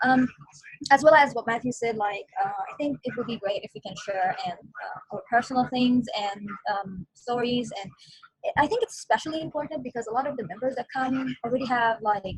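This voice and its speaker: A woman with an Arabic accent speaks at a fairly quick pace and a high pitch, with ordinary pitch variation and big swings in loudness. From Palestine. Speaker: online community member. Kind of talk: group video meeting discussion. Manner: hesitant, many fillers.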